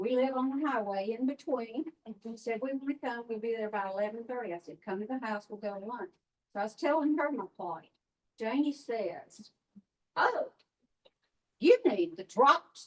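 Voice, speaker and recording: A woman speaks at a moderate pace with a Mississippi accent, her fairly high voice rising and falling in lively intonation. Her loudness swings widely, and she leaves long, frequent pauses. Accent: Southern US (Mississippi). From US South. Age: 80s+. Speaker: customer testimonial speaker. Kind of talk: testimony.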